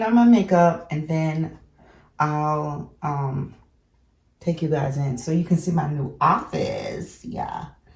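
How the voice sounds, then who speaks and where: The woman's voice is very deep and low, with ordinary pitch variation. It comes across as somewhat breathy. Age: 60s. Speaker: lifestyle vlogger. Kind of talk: casual vlog chat. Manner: relaxed, conversational.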